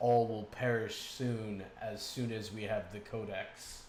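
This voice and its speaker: A man speaks in a put-on character voice, guttural and at a medium pitch. His pace is fairly slow, with clear background noise behind him. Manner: ominous, menacing.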